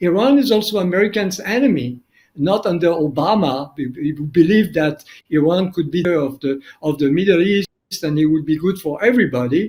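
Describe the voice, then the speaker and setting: Speaking at a fairly quick pace, a man uses lively intonation. His voice is high-pitched, in a strong French accent. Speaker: documentary filmmaker. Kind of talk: interview.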